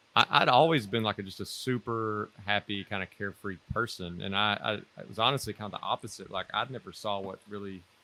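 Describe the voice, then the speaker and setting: A man with fairly low pitch talks at a fairly quick pace, showing ordinary pitch variation and big swings in loudness. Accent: Mississippi. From US South, North Mississippi. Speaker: former military officer, financial independence guest. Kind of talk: interview.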